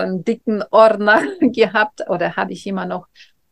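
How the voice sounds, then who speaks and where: A woman with a Russian accent speaks at a moderate pace with fairly even intonation. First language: Russian (speaking German). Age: 40s. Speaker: face yoga trainer. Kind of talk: casual interview. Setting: video call.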